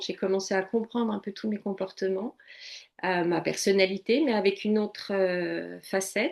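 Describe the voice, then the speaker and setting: It is a normal speaking voice, with fairly even intonation at a moderate pace. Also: woman. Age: 60s. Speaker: coach and psychotherapy practitioner. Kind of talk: interview testimony.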